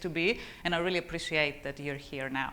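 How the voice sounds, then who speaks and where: A woman speaks with a Greek accent and ordinary pitch variation. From Greece. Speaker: tech executive and conference speaker. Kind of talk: conference talk. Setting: conference stage with audience. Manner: animated, speaks with her hands; stammers on some words.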